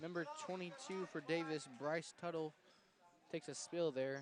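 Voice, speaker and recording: Speaking at a moderate pace, a man with an American accent shows ordinary pitch variation. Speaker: sports commentator. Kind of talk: live play-by-play commentary.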